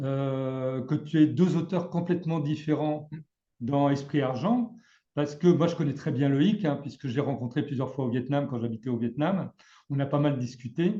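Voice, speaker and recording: A somewhat breathy voice with a dark, mellow tone speaks at a moderate pace. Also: man, fairly high pitch for a man, ordinary pitch variation. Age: 60s. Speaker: trading trainer. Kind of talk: casual chat. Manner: halting.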